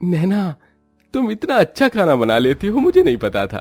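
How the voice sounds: Putting on a character voice, a man speaks at a high pitch and a moderate pace with a slightly mellow tone and very wide pitch swings, while faint music plays in the background.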